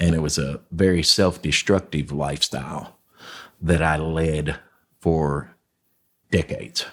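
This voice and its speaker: Using fairly even intonation, a man speaks at a very slow pace. His pitch is very deep and low, with vocal fry. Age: 60s. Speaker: homelessness nonprofit founder. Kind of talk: interview testimony. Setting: podcast. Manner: halting, with many fillers.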